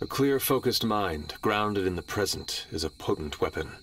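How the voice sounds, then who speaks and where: Someone talks in a put-on character voice at a moderate pace. Clear background noise runs underneath. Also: man, fairly low pitch for a man. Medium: video game. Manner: formal, no contractions.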